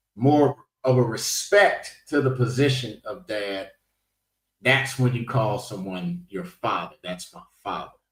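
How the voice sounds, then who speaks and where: The man speaks at a fairly slow pace in a somewhat breathy voice. His loudness swings widely. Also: medium pitch for a man. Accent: American. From United States. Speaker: podcast host. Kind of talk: panel discussion.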